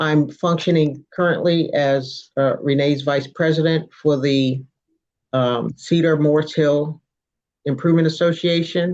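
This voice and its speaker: A woman with an American accent speaks at a fairly slow pace, in a very deep, low pitch with monotone, flat intonation and very even loudness. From Maryland, Anne Arundel County. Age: 60s. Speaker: retired engineer, community association vice president. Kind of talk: testimony at online community meeting. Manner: halting, many fillers.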